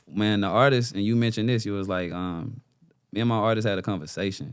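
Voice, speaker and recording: Talking at a very fast pace, a man uses a fairly low pitch and ordinary pitch variation. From Mississippi (born Louisiana). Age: 30s. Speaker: artist manager and life coach. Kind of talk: podcast interview. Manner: casual, relaxed.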